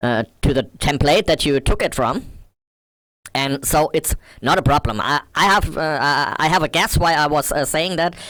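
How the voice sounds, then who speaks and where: With a bright, sharp tone and a dry, close sound with no echo, a man speaks at a fairly high pitch with ordinary pitch variation. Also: moderate pace. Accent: non-native. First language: not English. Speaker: modding tutorial creator. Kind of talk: tutorial. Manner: halting, many fillers.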